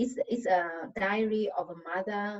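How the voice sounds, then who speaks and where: A woman speaks with a Vietnamese accent. Her voice is somewhat breathy. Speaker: novelist. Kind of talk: panel discussion answer. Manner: halting.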